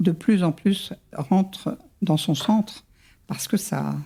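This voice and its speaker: A woman speaks at medium pitch in a dark, mellow tone. Her voice is somewhat breathy, with ordinary pitch variation. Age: 70s. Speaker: psychogenealogist. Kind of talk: interview.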